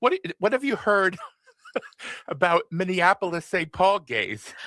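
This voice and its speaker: A man speaks in a raised, projected voice at a fairly slow pace, his pitch high and his intonation lively. The tone is bright and sharp, and the sound is dry and close with no echo. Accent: American. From New York. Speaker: radio host. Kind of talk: casual interview chat.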